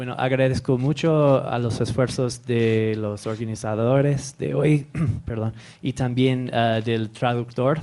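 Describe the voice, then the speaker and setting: The speaker has a non-native accent, a dark, mellow tone and fairly even intonation, and talks at a very slow pace. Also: man, medium pitch for a man. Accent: foreign accent in Spanish. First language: English (speaking Spanish). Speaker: professor. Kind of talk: conference talk.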